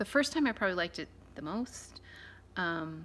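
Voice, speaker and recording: A soft-spoken woman with a fairly low pitch, lively intonation and a bright, sharp tone. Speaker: beauty vlogger. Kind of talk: product review. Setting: at home. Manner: casual, hesitant with fillers.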